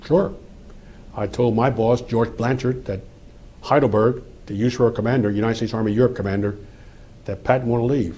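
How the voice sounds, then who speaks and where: Fairly quick American-accented male speech with long, frequent pauses, a somewhat breathy, dark, mellow tone and fairly even intonation. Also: medium pitch for a man. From US Northeast, suburban Philadelphia. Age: 80s+. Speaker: retired army general, war veteran. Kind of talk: oral history interview. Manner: conversational.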